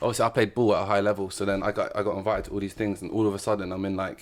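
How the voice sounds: Talking at a very fast pace, a man keeps a low pitch with little pitch movement.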